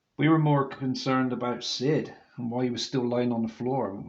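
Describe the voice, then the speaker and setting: Here a man speaks at a medium pitch. His pace is moderate and his pitch varies in an ordinary way. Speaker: wrestling DVD reviewer. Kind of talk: video review monologue. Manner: halting, stumbling over words; reading from notes.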